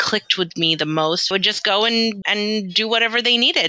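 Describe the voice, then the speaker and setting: Her medium pitch, moderate pace and American accent give this woman an unremarkable speaking voice. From London, then US South and Southern California. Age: 40s. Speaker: physical therapist and practice owner. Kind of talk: casual interview conversation.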